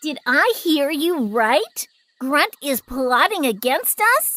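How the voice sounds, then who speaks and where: A cartoonish character voice, female-sounding and high-pitched, delivered at a very slow pace. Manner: authoritative.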